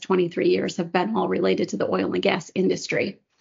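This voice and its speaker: In an American accent, a woman talks at a fairly low pitch. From US Midwest, Chicago area. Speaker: corporate executive. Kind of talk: casual chat.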